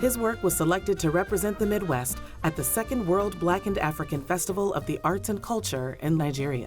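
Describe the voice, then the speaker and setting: Over music in the background, a woman talks at a fairly low pitch. Her intonation is lively, with hardly any pauses. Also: fairly quick pace. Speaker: documentary narrator. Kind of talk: documentary narration.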